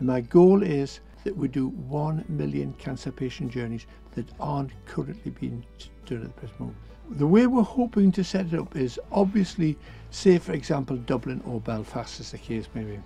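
A man's voice with big swings in loudness over faint background music. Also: moderate pace, dry sound with no echo. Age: 70s. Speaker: charity founder. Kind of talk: interview; interview answer. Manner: halting. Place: bus.

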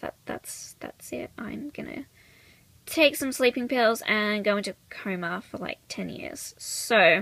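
Slow and croaky with vocal fry, a woman's medium-pitched voice carries lively intonation and a fairly bright tone.

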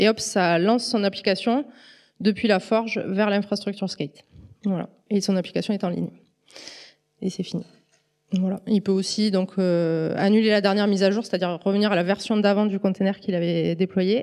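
A woman's medium-pitched voice with fairly even intonation and long, frequent pauses against a quiet background. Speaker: statistical engineer, conference speaker; conference speaker. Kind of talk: conference talk. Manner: fast. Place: hall. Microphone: handheld.

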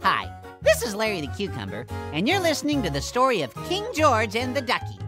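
A put-on character voice moves at a fairly quick pace. Music plays clearly in the background. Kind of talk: story introduction for children. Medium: read story. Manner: upbeat, friendly.

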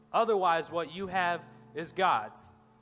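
With faint music in the background, a man talks at a fairly slow pace in a high voice with ordinary pitch variation. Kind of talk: church announcements and offering talk, then prayer. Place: church.

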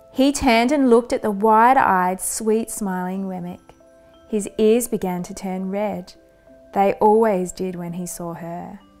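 A woman at a slow pace, medium in pitch with ordinary pitch variation, slightly mellow in tone, faint music in the background.

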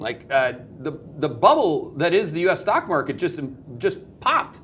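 With light background noise behind him, a man speaks with lively intonation. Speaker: market commentator. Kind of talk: commentary. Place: studio. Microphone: lapel.

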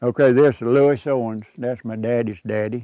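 A man with a Southern Appalachian accent has a dark, mellow tone and fairly even intonation. The sound is dry with no echo and the background quiet. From Southern Appalachia, North Carolina/Georgia mountains. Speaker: local elder sharing family history. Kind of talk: casual interview, reminiscing over old photos. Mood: warm, nostalgic. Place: garden. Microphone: lapel.

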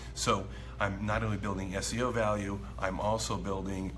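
Over faint music in the background, a man talks at a fairly slow pace in a very deep, low pitch. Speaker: marketing coach. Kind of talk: casual vlog chat. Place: cafe. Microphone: phone near.

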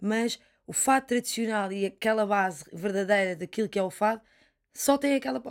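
The background is quiet. A woman speaks at a moderate pace with ordinary pitch variation. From Portugal. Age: 20s. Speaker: fado singer; interviewee. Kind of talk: interview conversation. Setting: studio. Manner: halting, many repetitions. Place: studio. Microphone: studio mic.

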